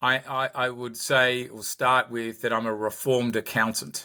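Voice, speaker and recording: Over a silent background on a very clean recording, a man speaks at a fairly slow pace and medium pitch with a bright, sharp tone. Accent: Australian. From Australia, Sydney. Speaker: company founder and executive. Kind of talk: podcast interview. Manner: repetitive, halting starts.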